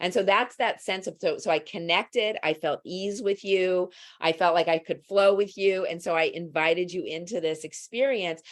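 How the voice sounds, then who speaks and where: The woman has an unremarkable speaking voice with ordinary pitch variation at a moderate pace. The recording is very clean, with a silent background. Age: 60s. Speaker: psychotherapist. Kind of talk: casual chat.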